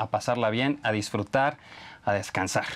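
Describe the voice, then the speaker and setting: A man speaks at a moderate pace in a Mexican accent. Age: middle-aged. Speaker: TV business show host. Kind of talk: interview.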